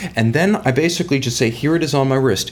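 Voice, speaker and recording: Speaking with a plain, everyday voice, a man moves along fairly quickly, his pitch rising and falling in an ordinary way. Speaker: watch company media director. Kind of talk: interview.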